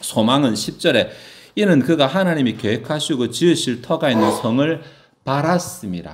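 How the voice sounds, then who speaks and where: Speaking at a fairly high pitch, a man uses lively intonation and vocal fry, with audible room echo around him. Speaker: pastor. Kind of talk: sermon. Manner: fast.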